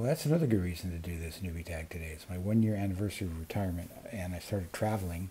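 A man speaks with an American accent and ordinary pitch variation. His tone is dark, mellow and somewhat breathy. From US Pacific Northwest. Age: 60s. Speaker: booktube creator. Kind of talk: casual vlog monologue. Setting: outdoors on a patio. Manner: rambling, many fillers. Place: home room. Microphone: earbuds.

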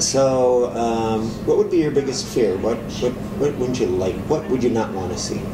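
Moderate-paced speech over noticeable background noise. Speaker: makeover stylist interviewer. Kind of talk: interview. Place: studio.

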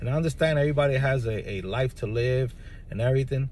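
Somewhat breathy, medium-pitched speech from a man with an American accent at a moderate pace. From New York City, the Bronx. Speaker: spiritual practitioner video creator. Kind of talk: monologue to camera. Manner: halting, many fillers.

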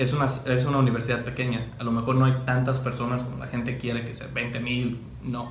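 Light background noise and audible room echo surround the voice. A man talks in a monotone with flat intonation. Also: fairly quick pace. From Mexico, Cotija, Michoacán; Michoacán, Mexico. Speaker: university student; interviewee. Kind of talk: interview. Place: meeting room.

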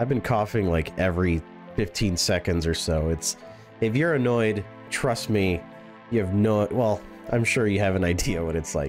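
Over music in the background, a man with a fairly low pitch talks at a moderate pace with very even loudness and ordinary pitch variation. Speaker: gaming commentator. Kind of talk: casual gameplay commentary.

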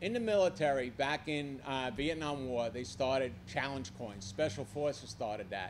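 A man with a Brooklyn accent talks over light background noise. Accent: Brooklyn New York. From New York. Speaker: civilian army aide. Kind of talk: public remarks. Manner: animated. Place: hall. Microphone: podium.

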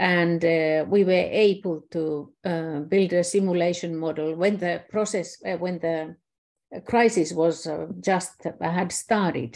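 Very slow and with fairly even intonation, a woman speaks at a fairly low pitch in a Finnish accent. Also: quiet background. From Finland. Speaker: systems scientist; presenter. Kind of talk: online presentation. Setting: video call. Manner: halting. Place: home room. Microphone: webcam.

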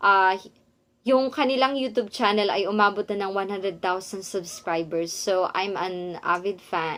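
This woman has an ordinary speaking voice at a medium pitch, with ordinary pitch variation. She talks at a fairly slow pace. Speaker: vlogger and online English teacher. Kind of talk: vlog talking to camera.

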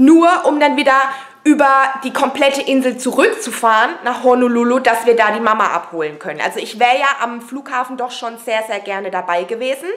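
A woman talks at a fairly quick pace with few pauses, her fairly high voice fairly bright in tone with ordinary pitch variation, over faint background noise.

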